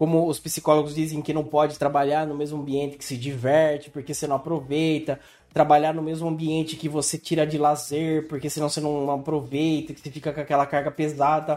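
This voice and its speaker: A man with a fairly high voice speaks in a monotone, flat intonation at a fairly quick pace, with hardly any pauses. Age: 30s. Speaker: podcast host. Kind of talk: casual chat.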